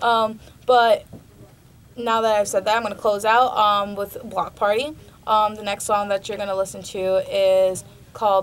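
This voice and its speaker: A woman speaks at a fairly slow pace in a fairly high pitch. Her delivery has long, frequent pauses. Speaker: college radio host. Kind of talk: radio show talk. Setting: radio studio. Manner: halting, many filler ums.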